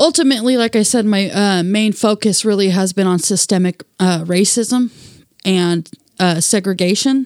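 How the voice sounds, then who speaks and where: A woman speaks in a normal speaking voice with an American accent, at medium pitch and a moderate pace. Her loudness stays very even, her pitch varies in an ordinary way, and the sound is dry and close with no echo. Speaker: activist and single mother. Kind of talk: interview conversation.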